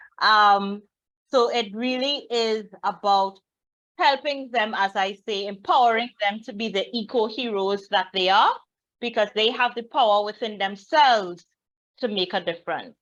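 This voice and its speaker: Against a quiet background, a woman with a Trinidadian accent speaks at a fairly slow pace, her fairly high pitch showing ordinary variation. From Trinidad and Tobago. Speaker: children's book author. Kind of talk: guest talk at a reading event.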